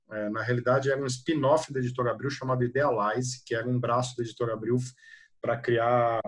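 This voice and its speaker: A man's medium-pitched, somewhat breathy voice at a fairly quick pace, in a monotone, flat intonation. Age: 40s. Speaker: PR agency executive. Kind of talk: interview. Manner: hesitant with many fillers.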